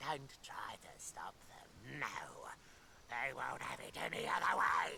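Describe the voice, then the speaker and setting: Someone whispers in a put-on character voice at a fairly slow pace, with clear background noise. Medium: video game. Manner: sarcastic, innuendo-laden.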